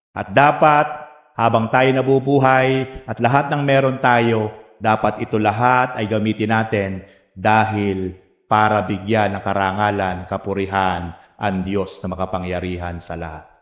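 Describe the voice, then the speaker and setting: A man's fairly low voice at a fairly slow pace, with ordinary pitch variation and audible room echo. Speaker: pastor. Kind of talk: sermon. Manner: strained, struggling to speak.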